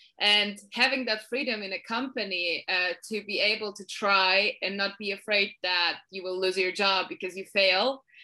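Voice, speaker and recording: This woman speaks with a Polish accent and a bright, sharp tone. She barely pauses at all. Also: medium pitch for a woman, fairly even intonation, moderate pace. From Poland. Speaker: marketing manager. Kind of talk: interview.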